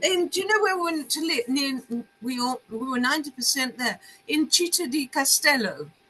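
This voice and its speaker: A woman with a high pitch speaks at a moderate pace, her raised, projected voice carrying lively intonation. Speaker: novelist. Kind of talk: interview. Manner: halting.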